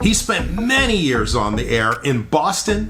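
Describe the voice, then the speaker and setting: A man speaks in an upbeat tone at a fairly slow pace, his pitch swinging very widely over noticeable background noise. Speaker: radio broadcaster. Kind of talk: video introduction to camera.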